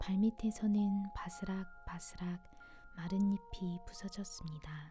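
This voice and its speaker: Someone whispers softly at a very slow pace. Music plays in the background. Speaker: ASMR storyteller. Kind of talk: bedtime story reading for adults. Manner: whispered, soft-spoken.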